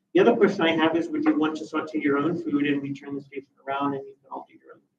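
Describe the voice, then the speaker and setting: A man with a Pennsylvania accent talks at a fairly quick pace. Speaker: university dining services manager. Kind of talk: presentation to student meeting. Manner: casual, conversational.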